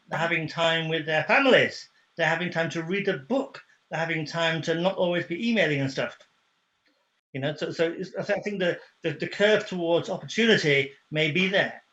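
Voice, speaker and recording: Against a quiet background, a man with a British accent speaks in a high pitch with a bright, sharp tone and ordinary pitch variation. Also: moderate pace. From UK. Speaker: HR, training and coaching professional. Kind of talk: casual video call conversation.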